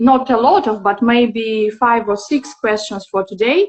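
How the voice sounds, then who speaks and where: A woman with a non-native accent speaks at a high pitch with ordinary pitch variation. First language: not English. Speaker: interviewer. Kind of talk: interview. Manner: halting, many fillers.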